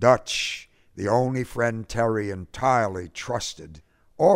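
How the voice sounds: A natural reading voice with pitch moving in an ordinary way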